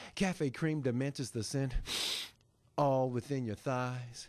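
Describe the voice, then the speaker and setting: Against a quiet background, a man with a normal speaking voice talks at a moderate pace, medium in pitch with ordinary pitch variation. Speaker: spoken word poet and author. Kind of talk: spoken word poetry performance. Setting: live performance at a publishing event.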